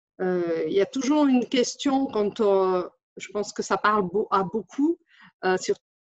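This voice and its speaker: A woman's medium-pitched voice at a very slow pace, with lively intonation and a dry, close sound free of echo. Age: 40s. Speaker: translator and interpreter, business owner. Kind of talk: testimonial. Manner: halting, many hesitations.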